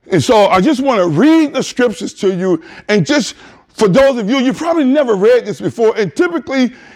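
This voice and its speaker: Loud and animated, a man with an extremely high pitch talks at a fairly quick pace. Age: 50s. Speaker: pastor. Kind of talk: sermon. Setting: church.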